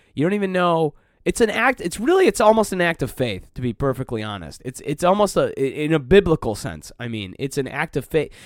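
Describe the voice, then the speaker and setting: Over a very clean recording with a silent background and a dry, close sound with no echo, a man with a Midwestern US accent speaks in an animated tone at a fairly quick pace, his fairly high pitch making very wide swings with hardly any pauses. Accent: US Midwest. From Detroit, Michigan. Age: 30s. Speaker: podcast host and stand-up comedian. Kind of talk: casual monologue. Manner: animated, laughs often.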